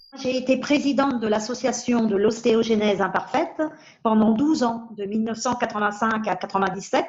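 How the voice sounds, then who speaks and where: There is noticeable background noise as a woman speaks at a moderate pace, her fairly high pitch showing ordinary variation. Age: 60s. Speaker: patient advocate with rare bone disease. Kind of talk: interview testimony. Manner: hesitant, with fillers.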